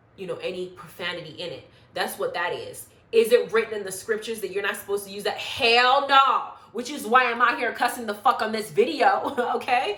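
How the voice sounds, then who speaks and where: The speaker has an animated tone, ordinary pitch variation, and big swings in loudness. The pace is fairly quick, over noticeable background noise. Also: woman. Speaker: YouTube reality TV commentator. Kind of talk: casual reality show recap monologue.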